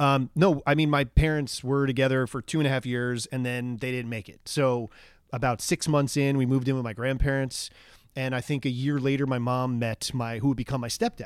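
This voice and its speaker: With an ordinary speaking voice, this man holds a medium pitch, moving at a fairly quick pace in fairly even intonation. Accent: American. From US Northeast, Long Island, New York. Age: 40s. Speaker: actor. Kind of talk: casual chat.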